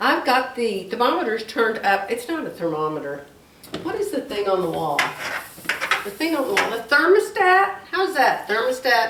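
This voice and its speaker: A woman's high voice with very wide pitch swings at a moderate pace, audible room echo and noticeable background noise. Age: 70s. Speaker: crafts YouTuber. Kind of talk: casual vlog chat. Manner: rambling, repetitive.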